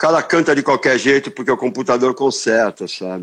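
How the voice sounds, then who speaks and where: A man's medium-pitched voice at a moderate pace against a quiet background. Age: 60s. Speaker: rock guitarist. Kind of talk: interview. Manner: casual, hesitant with repetitions.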